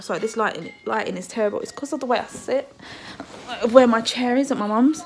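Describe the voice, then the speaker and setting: With faint music in the background, a woman talks at a very fast pace in a high pitch. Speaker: parent vlogger. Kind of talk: casual vlog chat. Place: home room. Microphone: phone near.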